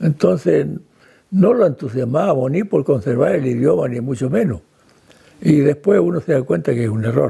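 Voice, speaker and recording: A man with a fairly high pitch and a dark, mellow tone speaks at a moderate pace with vocal fry. His pitch swings very widely. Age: 80s+. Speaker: descendant of Swiss settlers. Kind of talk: interview testimony.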